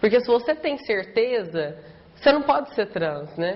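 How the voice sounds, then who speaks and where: Noticeable background noise behind a woman at a moderate pace. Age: 20s. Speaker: law student. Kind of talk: documentary interview.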